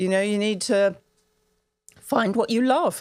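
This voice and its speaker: A woman with a British accent speaks at a fairly quick pace with lively intonation. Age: 70s. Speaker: women's health advocate and menopause expert. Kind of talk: interview conversation. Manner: animated.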